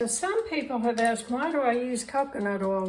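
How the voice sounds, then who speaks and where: A woman with a Southern US accent, over noticeable background noise. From US South, Mississippi. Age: 80s+. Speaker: cooking video creator. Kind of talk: cooking tutorial. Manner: casual, conversational.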